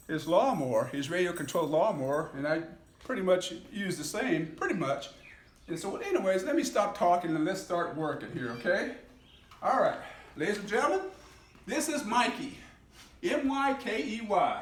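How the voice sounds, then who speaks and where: Amid noticeable background noise and audible room echo, a man with a high pitch talks at a moderate pace, his pitch swinging very widely, with long, frequent pauses. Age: 60s. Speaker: hobbyist YouTuber. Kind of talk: casual video demonstration. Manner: halting.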